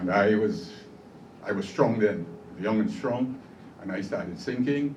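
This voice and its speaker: Fairly slow, fairly low-pitched speech from a man, with ordinary pitch variation in audible room echo. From Trinidad and Tobago. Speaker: steelpan pioneer and honoree. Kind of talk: award acceptance speech.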